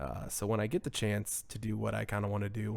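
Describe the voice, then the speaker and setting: A soft-spoken man's medium-pitched voice at a fairly quick pace. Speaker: gaming youtuber. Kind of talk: gameplay commentary. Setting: at home at night. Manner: casual.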